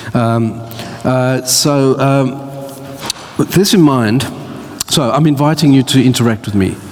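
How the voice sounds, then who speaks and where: A man speaks at a medium pitch and a fairly slow pace, with ordinary pitch variation and long, frequent pauses. Audible room echo and noticeable background noise surround him. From Australia. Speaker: church speaker. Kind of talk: talk to church audience. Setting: church with audience. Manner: halting.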